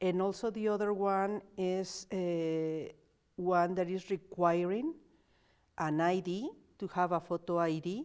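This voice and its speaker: A woman speaks with a Spanish accent, her pitch fairly low and its variation ordinary. The recording is very clean, with a silent background. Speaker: community organizer. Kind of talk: casual interview.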